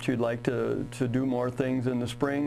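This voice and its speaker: With music in the background and audible room echo, a man with an American accent speaks at a moderate pace in a medium pitch, his intonation monotone and flat. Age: 60s. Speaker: retired high school baseball coach. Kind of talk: interview.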